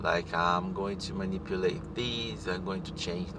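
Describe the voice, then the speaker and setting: A man is speaking. Noticeable background noise and audible room echo fill the recording. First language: not English. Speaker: spiritual teacher. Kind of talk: casual monologue. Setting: in a car. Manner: halting. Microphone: poor audio.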